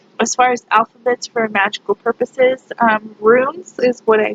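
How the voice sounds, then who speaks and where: Speaking at a moderate pace, a woman uses a fairly high pitch and ordinary pitch variation. The sound is dry and close with no echo, though noticeable background noise is present. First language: Spanish. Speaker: pagan YouTuber. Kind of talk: casual vlog monologue. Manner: hesitant, many fillers.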